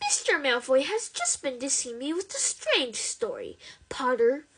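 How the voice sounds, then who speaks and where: Using a put-on character voice, a woman speaks at a moderate pace, her high pitch swinging very widely. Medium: read story. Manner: cold, menacing.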